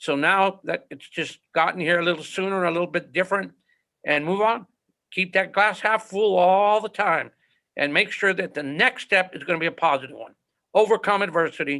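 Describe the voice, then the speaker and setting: Against a quiet background, a man speaks in a raised, projected voice with a bright, sharp tone, a high pitch, ordinary pitch variation and a moderate pace. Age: 60s. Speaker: high school football coach. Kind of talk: interview conversation. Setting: podcast interview.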